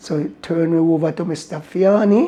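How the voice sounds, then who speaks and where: In a Jamaican accent, the voice moves at a very slow pace with a dark, mellow tone. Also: man. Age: 80s+. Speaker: racehorse groom. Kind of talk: interview answer.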